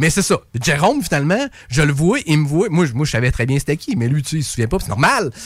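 At a very fast pace, a man with a fairly high pitch speaks in a somewhat breathy voice with lively intonation. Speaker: singer. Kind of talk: casual chat. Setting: radio studio.

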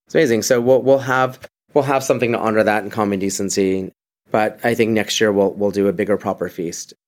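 Here a man talks at a very fast pace. His fairly low pitch shows ordinary variation. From Venezuela. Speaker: bar and restaurant executive. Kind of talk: interview.

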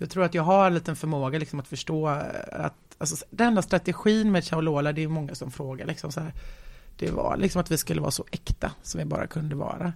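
A woman speaks at a very deep, low pitch with vocal fry. She goes at a fairly quick pace with ordinary pitch variation. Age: 40s. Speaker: entrepreneur. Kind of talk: casual interview.

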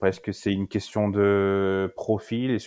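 With monotone, flat intonation, a man speaks at a fairly low pitch in a dry, close sound with no echo. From France, Lyon. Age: 20s. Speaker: football fan. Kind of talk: casual chat.

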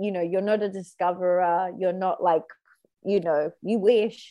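A woman with an Australian accent, medium pitch, fairly even intonation and a moderate pace. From Australia, New South Wales. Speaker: comedic actress. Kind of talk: improvised comedy chat.

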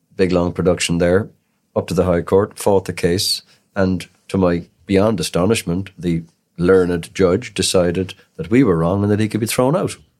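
Very clean, silent-background audio of a man with a Cork accent, very deep and low in pitch, with fairly even intonation. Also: moderate pace. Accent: Cork Irish. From Cork city, Ireland. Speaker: criminal defence solicitor. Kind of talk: interview. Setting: studio.

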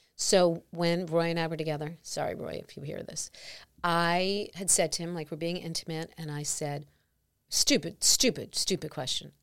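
A woman with an American accent, fairly low pitch, and fairly even intonation, at a moderate pace with big swings in loudness, on a very clean recording with a silent background. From New York. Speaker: podcast host. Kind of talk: interview. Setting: studio.

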